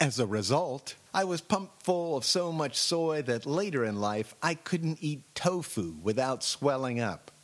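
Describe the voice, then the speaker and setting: A man's plain, everyday voice in an American accent, fairly high-pitched and at a fairly slow pace, with hardly any pauses. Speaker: audio essayist. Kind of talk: dramatic narration; scripted personal essay narration. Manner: mock-solemn, exaggerated, theatrical.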